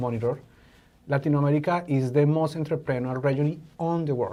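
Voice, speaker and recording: Fairly high in pitch, a man speaks at a fairly quick pace with a dark, mellow tone. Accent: Spanish. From Colombia. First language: Spanish. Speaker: innovation educator. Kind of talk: podcast interview. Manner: halting.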